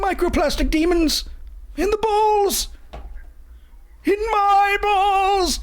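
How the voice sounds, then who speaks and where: A put-on character voice at an extremely high pitch speaks at a very slow pace, with long, frequent pauses. There is light background noise. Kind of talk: comic overacting. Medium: game stream. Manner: grandiose, mock-mystical.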